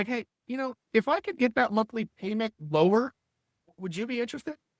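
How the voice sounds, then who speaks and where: Putting on a character voice at an extremely high pitch, a man talks at a fairly quick pace with lively intonation, the sound dry and close with no echo. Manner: unsure, tentative.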